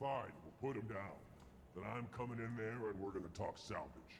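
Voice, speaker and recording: Against clear background noise, a man at medium pitch performs a put-on character voice at a moderate pace. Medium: game stream. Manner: barking, commanding.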